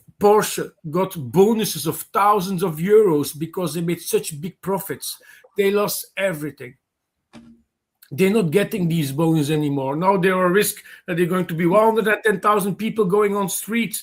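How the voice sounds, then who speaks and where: A man's high-pitched voice at a moderate pace. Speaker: open mic participant. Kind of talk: casual political discussion.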